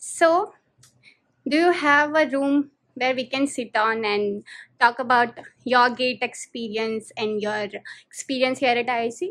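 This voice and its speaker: Against a quiet background, a woman with a high pitch and ordinary pitch variation speaks at a very slow pace with long, frequent pauses. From India. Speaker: education YouTuber. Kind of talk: interview. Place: home room.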